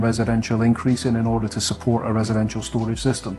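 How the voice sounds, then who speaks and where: A man speaks at a medium pitch with monotone, flat intonation. Music plays in the background. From Scotland. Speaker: solar industry sales team lead. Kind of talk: interview.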